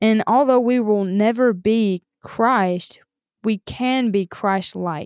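Speaking with a Southern US accent, a woman keeps a medium pitch and fairly even intonation. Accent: Southern American. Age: 20s. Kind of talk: devotional monologue.

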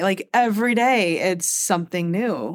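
A woman speaks at a moderate pace. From Michigan, US. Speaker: podcast co-host, mom. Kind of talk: casual chat.

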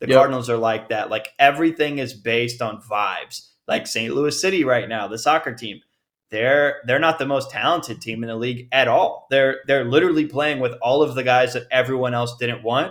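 Here a man talks at a fairly quick pace with hardly any pauses, in an ordinary speaking voice. His medium pitch has ordinary pitch variation. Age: 20s. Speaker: baseball fan, podcast guest. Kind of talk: casual chat.

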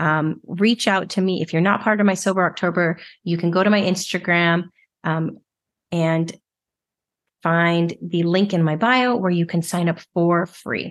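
Against a quiet background, a woman speaks at a fairly slow pace with a fairly low pitch. Hers is an unremarkable speaking voice. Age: 40s. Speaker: alcohol-free life coach, podcast host. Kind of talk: solo coaching monologue.

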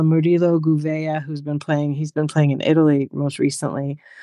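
A woman with an American accent at a fairly quick pace, her tone dark and mellow, the sound dry and close with no echo. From New York. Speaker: English as a second language teacher. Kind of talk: casual interview chat.

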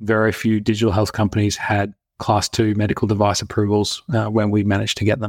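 A man with an Australian accent and a fairly low pitch speaks at a fairly quick pace. The sound is dry and close with no echo, on a very clean recording with a silent background. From Australia (Brisbane). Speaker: health tech company founder and CEO. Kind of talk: interview.

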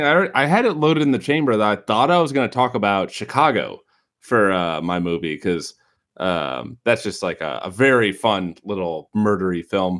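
This man talks with an American accent. His fairly low voice swings very widely in pitch. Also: moderate pace, very clean recording, silent background. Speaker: podcast host. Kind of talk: casual podcast chat.

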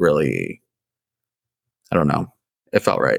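The man's voice has a dry, close sound with no echo. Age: 20s. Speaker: podcast host. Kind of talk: casual interview chat; scripted announcement.

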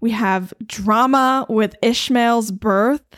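On a very clean recording with a silent background, a woman with a fairly high pitch and fairly even intonation speaks in a normal speaking voice. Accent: American. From Eastern North Carolina. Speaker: podcast co-host. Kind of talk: casual Bible study chat.

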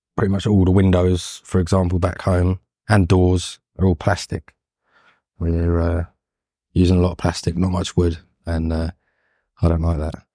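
In a London accent, this dark, mellow voice speaks at a moderate pace in a monotone, flat intonation with long, frequent pauses, on a very clean recording with a silent background and a dry, close sound with no echo. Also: man, very deep, low pitch for a man. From London, England. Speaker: carpenter and fine furniture maker. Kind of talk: interview. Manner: hesitant.

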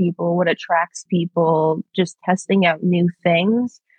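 Calm in tone, a woman with a Long Island accent speaks at a medium pitch in a monotone, flat intonation. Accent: New York (Long Island). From New York, Long Island. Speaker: public relations professional. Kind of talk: casual chat. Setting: long-distance call. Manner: calm, collected. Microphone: glitchy connection.

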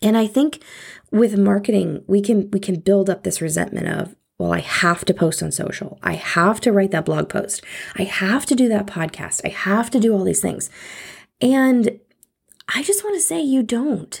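The recording is very clean, with a silent background. A woman speaks at a moderate pace, somewhat breathy, at medium pitch with ordinary pitch variation. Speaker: marketing podcast host. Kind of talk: solo podcast monologue. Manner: casual, laughs often.

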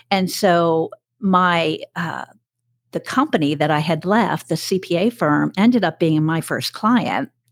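A woman in a normal speaking voice talks at a fairly slow pace and fairly low pitch with ordinary pitch variation, on a very clean recording with a silent background. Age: 60s. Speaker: corporate trainer and business owner. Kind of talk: casual interview conversation.

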